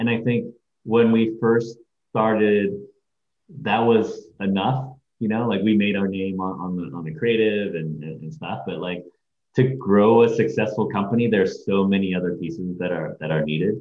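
Audible room echo surrounds a man who speaks at a moderate pace in a fairly low pitch with ordinary pitch variation. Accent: American. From Hong Kong, then California Bay Area. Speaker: agency CEO and creative director. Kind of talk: interview. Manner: hesitant, many fillers.

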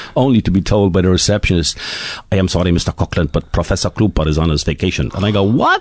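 Very fast and very even in loudness, a man talks with a very deep, low pitch and ordinary pitch variation, in a dry, close sound with no echo, amid noticeable background noise. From Ireland (Dublin). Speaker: retired middle-distance runner. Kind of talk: interview.

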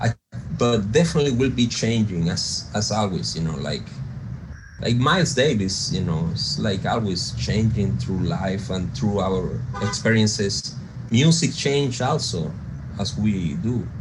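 A man with a Spanish accent speaks at a fairly slow pace in a fairly low pitch with very wide pitch swings, over noticeable background noise and audible room echo. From coastal Venezuela. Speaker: jazz pianist and producer. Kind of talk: interview.

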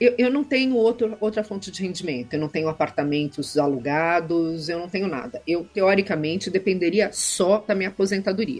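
Music plays in the background behind speech with lively intonation. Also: woman. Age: 50s. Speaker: federal judge. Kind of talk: interview.

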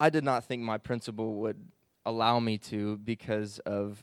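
A man with an American accent, fairly low-pitched and monotone with flat intonation, at a fairly slow pace in a very clean recording with a silent background. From Illinois (southern, St. Louis area). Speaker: Bible college student. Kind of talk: testimony.

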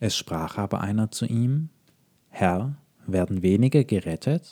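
At a very slow pace, a man with a fairly low pitch and a dark, mellow tone speaks with lively intonation in a dry, close sound with no echo. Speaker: podcast preacher. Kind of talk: sermon. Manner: calm, measured, earnest.

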